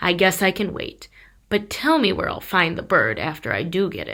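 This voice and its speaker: A woman's raspy put-on character voice at a moderate pace. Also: medium pitch for a woman. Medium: read story. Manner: bold, eager.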